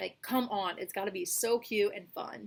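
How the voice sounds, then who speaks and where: The tone is animated. Pitch varies in an ordinary way. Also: woman. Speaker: booktuber. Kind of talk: casual vlog chat. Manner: fast.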